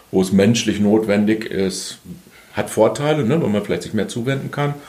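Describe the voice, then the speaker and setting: Fairly quick male speech with ordinary pitch variation and audible room echo. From Bielefeld, Germany. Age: 50s. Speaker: organizational consultant. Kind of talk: interview. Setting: studio.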